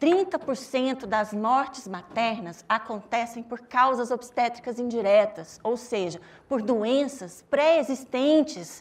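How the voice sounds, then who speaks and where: Speaking in a Minas Gerais accent, a woman with a high pitch uses lively intonation. Her pace is very slow. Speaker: doctor at a legal abortion service, panelist. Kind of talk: panel talk.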